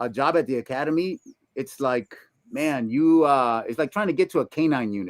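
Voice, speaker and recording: Dry and close with no echo, this recording features a man. His pitch is fairly high and swings very widely. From Puebla, Mexico. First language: Spanish. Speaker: retired police detective. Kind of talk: casual interview.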